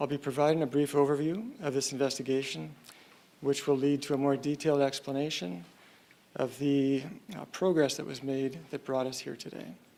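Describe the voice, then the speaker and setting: A soft-spoken man with a Canadian accent talks at a fairly quick pace, his pitch fairly high with ordinary variation. His loudness swings widely. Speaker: police official. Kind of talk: press conference statement.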